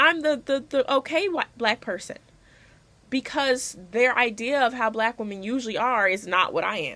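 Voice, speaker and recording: A woman with a high pitch and a bright, sharp tone speaks at a moderate pace, her pitch swinging very widely. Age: young. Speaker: college student. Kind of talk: class video essay to camera. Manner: casual, emphatic.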